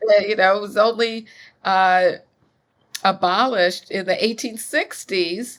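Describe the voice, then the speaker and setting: Long, frequent pauses break up the fairly slow speech. Pitch variation is ordinary. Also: woman, medium pitch for a woman. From US Midwest, Chicago. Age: 60s. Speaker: author and academic. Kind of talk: interview conversation. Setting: podcast.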